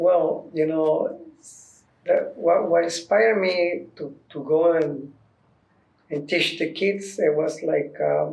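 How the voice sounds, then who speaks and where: Speaking very slowly with a Mexican accent, a man is heard with audible room echo. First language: Spanish. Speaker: dancer and youth dance teacher. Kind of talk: documentary interview. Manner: halting.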